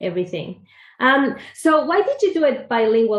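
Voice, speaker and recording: A woman with a Spanish accent speaks with very wide pitch swings. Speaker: podcast host. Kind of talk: interview conversation.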